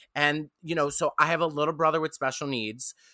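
A man with a New York accent speaks at a moderate pace and fairly high pitch. His bright, sharp tone sounds dry and close, with no echo. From Staten Island, New York. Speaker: comedian. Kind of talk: casual chat. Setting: video call.

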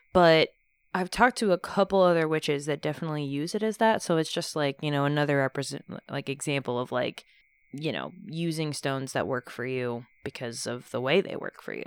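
With a slight Texan accent, a woman speaks at a fairly quick pace in a very deep, low voice with ordinary pitch variation, on a very clean recording with a silent background and a dry, close sound with no echo. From Texas. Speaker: podcast host. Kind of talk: casual chat with co-host about witchcraft. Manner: casual, joking.

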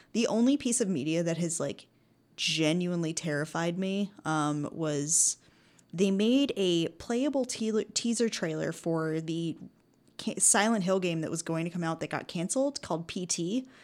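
An unremarkable speaking voice at a moderate pace, lively intonation, and a very clean recording with a silent background. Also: woman, fairly low pitch for a woman. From United States. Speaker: sketch comedian. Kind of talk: casual chat.

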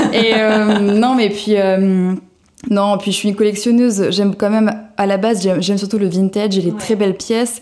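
At a moderate pace, a woman speaks with flat, monotone intonation. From southern France, Cannes. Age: 20s. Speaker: journalist and vintage blogger. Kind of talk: casual interview.

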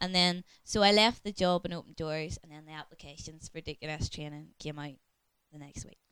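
With a Northern Irish accent, a woman talks at a fairly quick pace in a very deep, low pitch, her intonation fairly even but her loudness swinging widely. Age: 30s. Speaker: church deaconess. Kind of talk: casual chat. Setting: home study.

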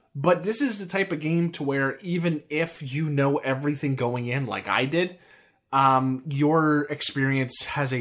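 In an American accent, a man with an unremarkable speaking voice talks at a fairly slow pace, at a fairly high pitch with ordinary pitch variation, on a very clean recording with a silent background. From United States. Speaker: podcast host. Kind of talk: casual chat about a video game.

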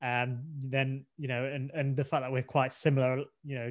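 Against a quiet background, a man with an English accent speaks at a medium pitch and a moderate pace. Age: 20s. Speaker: podcast co-host, blind expectant father. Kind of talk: casual chat.

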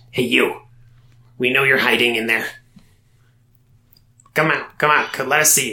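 In a raspy put-on character voice of medium pitch, a man speaks at a moderate pace with long, frequent pauses. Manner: angry, taunting.

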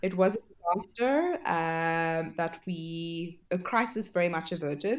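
A plain, everyday voice, a woman's, fairly low-pitched, at a fairly slow pace with ordinary pitch variation. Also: hardly any pauses. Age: 30s. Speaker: pastry chef and cake business founder. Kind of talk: interview.

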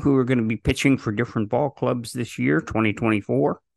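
Over a quiet background, a man with a medium pitch and vocal fry is heard in a dry, close sound with no echo. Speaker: podcast host. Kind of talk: interview.

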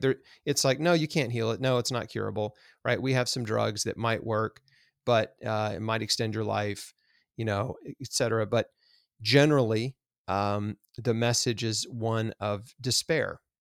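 At a moderate pace and with ordinary pitch variation, an unremarkable speaking voice comes through a very clean recording with a silent background and a dry, close sound with no echo. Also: man. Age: 40s. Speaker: cancer survivor and health author. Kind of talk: interview. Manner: casual, with many filler words.

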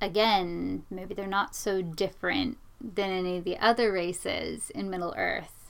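A woman's normal speaking voice at a medium pitch with ordinary pitch variation, a fairly slow pace and hardly any pauses. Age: 20s. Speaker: podcast co-host. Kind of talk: casual discussion.

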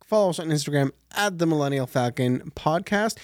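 A man at a fairly high pitch and moderate pace, very wide pitch swings, on a very clean recording with a silent background. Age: 30s. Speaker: podcast co-host. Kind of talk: quiz reading; show outro.

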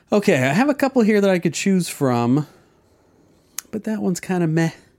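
A man with a high pitch talks at a fairly quick pace with very wide pitch swings, in a very clean recording with a silent background. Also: long, frequent pauses. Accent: American. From New Jersey and Oklahoma. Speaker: podcast co-host and editor. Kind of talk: casual chat.

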